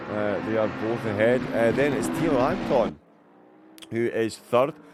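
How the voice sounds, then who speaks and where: Background noise is noticeable while a man talks. His pace is fairly slow, his pitch medium, and its variation ordinary. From Scotland, east coast. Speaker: sim racing commentator. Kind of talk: live commentary. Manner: animated.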